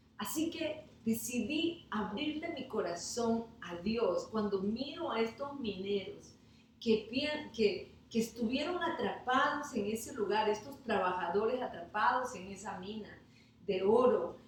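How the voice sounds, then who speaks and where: Amid noticeable background noise and audible room echo, a woman with a fairly high pitch speaks at a very slow pace. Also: lively intonation. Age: 60s. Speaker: pastor. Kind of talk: sermon. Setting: online livestream.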